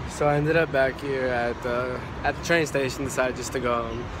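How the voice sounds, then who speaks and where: In a dry sound with no echo but noticeable background noise, a man talks at a very fast pace. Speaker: vlogger. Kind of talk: casual vlog chat. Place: station. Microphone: phone near.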